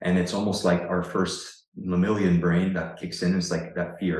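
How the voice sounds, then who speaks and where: A man with a Canadian accent speaks at a very deep, low pitch, with audible room echo around him. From Ontario, Canada. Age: 30s. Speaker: online fitness coach. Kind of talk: casual interview conversation.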